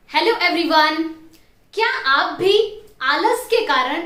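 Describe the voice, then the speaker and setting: A woman speaks in a raised, projected voice. Her intonation is lively. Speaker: motivational trainer. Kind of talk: motivational talk to camera.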